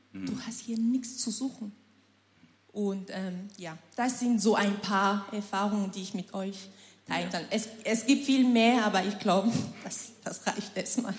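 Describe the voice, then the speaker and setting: With noticeable background noise behind her, a woman speaks at a fairly slow pace with fairly even intonation. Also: medium pitch for a woman, big swings in loudness. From Cameroon. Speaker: churchgoer sharing testimony. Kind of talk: testimony.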